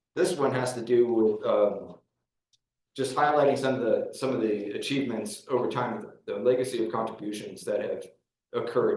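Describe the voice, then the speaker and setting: In a room with audible echo, a man speaks at a moderate pace with big swings in loudness. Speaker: county staff presenter. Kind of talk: public meeting presentation. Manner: halting with many fillers.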